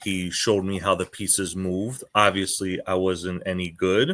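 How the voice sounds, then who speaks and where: A man with a New York accent speaks fairly slowly at a very deep, low pitch in a bright, sharp tone and monotone, flat intonation, captured in a very clean recording with a silent background. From New York (Queens). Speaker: chess teacher. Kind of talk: interview.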